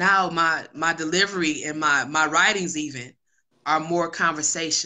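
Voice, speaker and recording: A woman speaks with an American accent in a husky, fairly low voice. Her intonation stays fairly even. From Detroit, US Midwest. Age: 30s. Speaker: hip hop artist and singer. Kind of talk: interview conversation. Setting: video call. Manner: slower, conversational.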